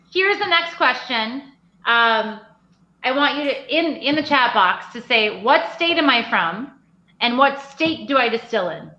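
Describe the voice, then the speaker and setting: Her voice raised and projected, a woman speaks fairly slowly at a high pitch with a bright, sharp tone and lively intonation. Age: 40s. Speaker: craft distillery owner. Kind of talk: casual chat. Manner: animated.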